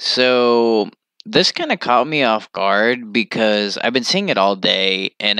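A man speaks at a fairly slow pace with a bright, sharp tone. The sound is dry with no echo, over a quiet background. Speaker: streamer reacting to a post. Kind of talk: casual vlog chat. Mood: ranting, amused disbelief. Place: home room. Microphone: webcam.

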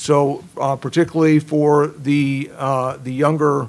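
A man speaks with a monotone, flat intonation. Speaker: journal editor and former Marine officer. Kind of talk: conference presentation. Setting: stage with audience. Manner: halting, repeats words. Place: meeting room. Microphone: podium.

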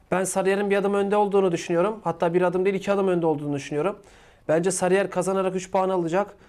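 Against a quiet background, a man talks at a very fast pace in a high pitch, his intonation monotone and flat and his loudness very even. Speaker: football channel co-host. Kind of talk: sports preview discussion. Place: office. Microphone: lapel.

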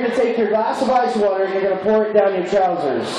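A man talks very fast at an extremely high pitch. Strong room echo and noticeable background noise surround him. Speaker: cruise ship emcee. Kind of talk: game show host, emceeing a live contest with crowd banter. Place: stage. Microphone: pa.

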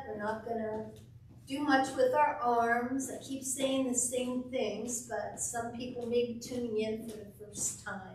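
A woman's high, flat, monotone voice at a fairly slow pace, with light background noise and audible room echo. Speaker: fitness instructor. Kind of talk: exercise class instruction. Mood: cheerful, encouraging. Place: gym.

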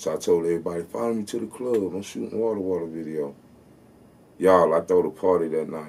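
A man speaks at a very deep, low pitch with ordinary pitch variation. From US South, South Carolina. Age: 30s. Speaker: rapper. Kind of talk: storytelling interview, casual. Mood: relaxed, storytelling, boastful. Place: studio.

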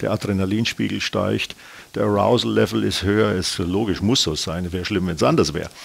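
A man speaks with vocal fry at a very deep, low pitch. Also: fairly quick pace. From Bayreuth, Upper Franconia, Bavaria; Bavaria. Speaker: airline captain. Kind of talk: interview. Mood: relaxed, reminiscing, amused. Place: studio. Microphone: lapel.

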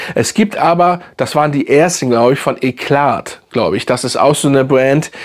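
Moderate pace and ordinary pitch variation from a man, in a quiet background. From Hamburg, northern Germany; Germany. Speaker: fragrance YouTuber. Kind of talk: casual product review video. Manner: casual, halting with many fillers. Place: home room.

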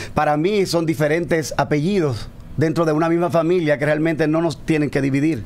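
Speaking at a fairly quick pace, a man has a fairly high pitch. His pitch variation is ordinary. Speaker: pastor. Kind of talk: casual chat. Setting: studio. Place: studio. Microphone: studio mic.

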